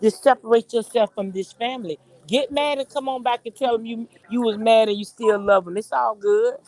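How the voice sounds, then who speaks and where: A woman speaks fairly quickly in a fairly high voice. Her pitch varies in an ordinary way. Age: 60s. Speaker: caller on an online community show. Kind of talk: casual group chat. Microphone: connection cut out.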